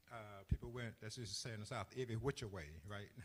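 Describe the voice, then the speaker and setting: Somewhat breathy, a man speaks at a moderate pace. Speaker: church deacon, interview host. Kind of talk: interview, telling life story. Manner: hesitant, many fillers.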